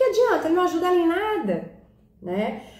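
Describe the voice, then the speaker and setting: Amid noticeable background noise and audible room echo, a woman speaks at a fairly quick pace. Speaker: holistic therapist and live-stream host. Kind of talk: live-stream talk. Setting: live stream on Instagram and YouTube.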